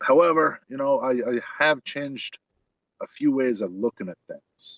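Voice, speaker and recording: A man with a New York accent at a moderate pace. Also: dry, close sound with no echo. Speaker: homeless guest. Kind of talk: casual chat. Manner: hesitant, filler-heavy.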